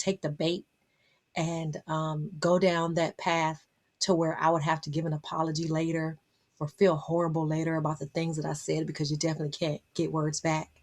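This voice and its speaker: An American accent comes through at a fairly quick pace. The recording is very clean, with a silent background. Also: woman. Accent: Southern US, comes out when comfortable. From Las Vegas, Nevada, US, Southern family. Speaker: motivational speaker and life coach. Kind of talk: motivational vlog monologue. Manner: animated.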